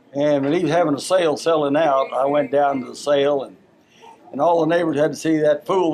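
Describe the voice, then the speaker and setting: Very fast speech from a man with a fairly high pitch and fairly even intonation, against noticeable background noise. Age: 80s+. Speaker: retired farmer. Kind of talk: casual interview. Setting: family interview.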